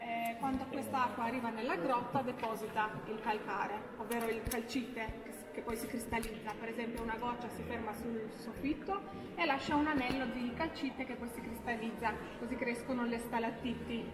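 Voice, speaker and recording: Against loud background noise, a woman speaks at a moderate pace with hardly any pauses. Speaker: cave tour guide. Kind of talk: guided tour talk. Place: tunnel cave. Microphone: camera far.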